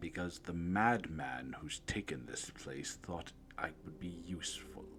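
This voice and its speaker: In a put-on character voice with a very deep, low pitch, a man talks at a fairly slow pace over clear background noise. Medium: actual play. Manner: slow, measured, aloof.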